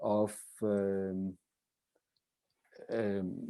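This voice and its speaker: A man's fairly low, dark and mellow voice with a Spanish accent. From Spain. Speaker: professor. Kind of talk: keynote lecture. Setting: conference. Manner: halting.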